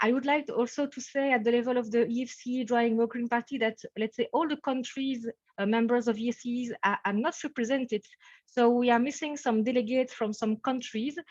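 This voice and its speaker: In a Belgian French accent, a woman with a high pitch speaks with fairly even intonation, the sound dry and close with no echo. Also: fairly quick pace. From French-speaking Belgium. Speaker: professor. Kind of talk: webinar introduction. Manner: hesitant, many fillers.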